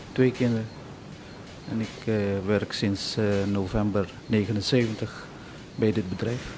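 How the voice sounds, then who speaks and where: A man talks at a very slow pace, with long, frequent pauses. His intonation is flat and monotone, and his pitch is fairly low. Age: 40s. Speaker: steelworks area supervisor. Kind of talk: interview testimony. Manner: hesitant.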